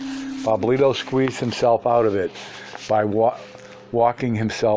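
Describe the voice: This is plain reading aloud. Nothing more is heard than plain reading aloud.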